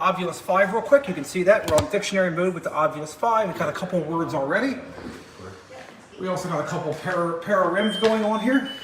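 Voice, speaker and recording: Amid noticeable background noise and audible room echo, a man with a high pitch talks very fast with ordinary pitch variation. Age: 40s. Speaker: paranormal team founder. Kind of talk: casual chat; tutorial. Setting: distillery, investigation location.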